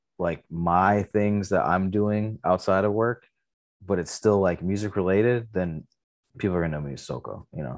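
In an American accent, a man with an ordinary speaking voice talks at a fairly low pitch and fairly even intonation against a quiet background. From Michigan, Detroit area. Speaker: artist manager and indie label owner. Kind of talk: casual chat.

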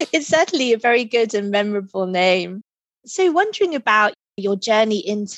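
The woman has an unremarkable speaking voice at a medium pitch. She keeps a moderate pace against a quiet background. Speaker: podcast host and executive coach. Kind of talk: interview conversation. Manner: warm, welcoming.

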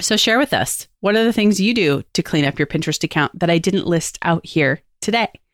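At a fairly quick pace with hardly any pauses, a woman speaks in a plain, everyday voice at a medium pitch with lively intonation and very even loudness, in a very clean recording with a silent background and a dry, close sound with no echo. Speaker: podcast host and agency owner. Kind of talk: solo podcast tutorial.

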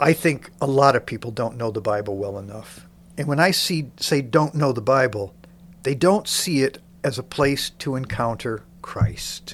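A plain, everyday voice moves at a moderate pace with ordinary pitch variation on a very clean recording with a silent background. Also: man, medium pitch for a man. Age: 60s. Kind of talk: interview, podcast promoting a Bible reading program.

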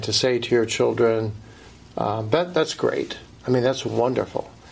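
With noticeable background noise behind him, a man talks at a moderate pace and varies his pitch in an ordinary way. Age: middle-aged. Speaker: pastor and author. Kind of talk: interview.

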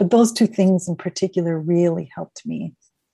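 A woman with an American accent, fairly low in pitch, dark and mellow and somewhat breathy, at a very fast pace with fairly even intonation, in a dry, close sound with no echo. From Minnesota, Minneapolis. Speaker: author and end of life doula. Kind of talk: interview.

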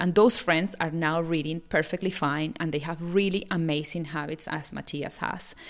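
A woman with a Spanish accent, fairly low pitch and vocal fry, ordinary pitch variation, moderate pace, in a very clean recording with a silent background. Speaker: parenting podcaster. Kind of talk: solo podcast talk.

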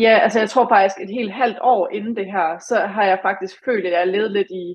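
This woman has a normal speaking voice. She talks at a fairly slow pace. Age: 20s. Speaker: former fitness competitor. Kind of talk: podcast interview.

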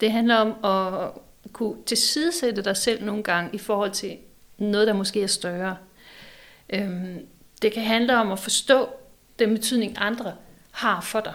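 A woman talks at a fairly slow pace with long, frequent pauses. Her pitch is fairly high, with ordinary variation. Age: 40s. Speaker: psychology professor and design school rector. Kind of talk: casual chat. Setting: office of a publishing house.

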